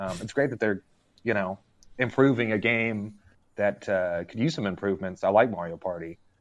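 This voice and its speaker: A man's plain, everyday voice, fairly low in pitch with an American accent, ordinary pitch variation and a fairly quick pace, over a quiet background. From Arkansas, US South. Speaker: gaming writer. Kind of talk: casual chat. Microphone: unstable connection.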